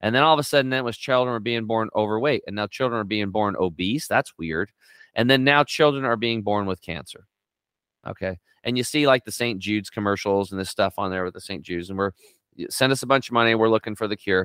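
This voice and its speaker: Recorded very cleanly against a silent background, the dry, close sound carries no echo as an animated voice races along very fast with ordinary pitch variation. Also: man, medium pitch for a man. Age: 50s. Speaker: health and detox coach. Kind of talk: casual interview.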